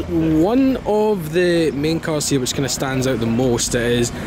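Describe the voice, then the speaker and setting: A man's voice, dry with no echo, with noticeable background noise. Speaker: car vlogger. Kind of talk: casual vlog commentary. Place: street. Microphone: phone near.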